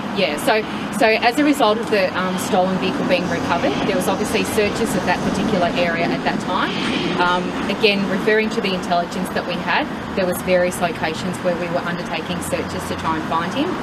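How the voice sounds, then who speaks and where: Loud background noise fills the clip as a woman talks at a very fast pace. Her pitch variation is ordinary. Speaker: police spokesperson. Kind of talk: press conference answer. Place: street. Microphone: handheld.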